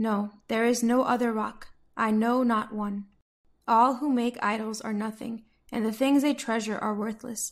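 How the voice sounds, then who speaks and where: In an American accent, a woman speaks with a fairly high pitch and monotone, flat intonation. The recording is very clean, with a silent background. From United States. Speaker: Bible reader, daily devotional voice service. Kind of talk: Bible passage reading, devotional narration.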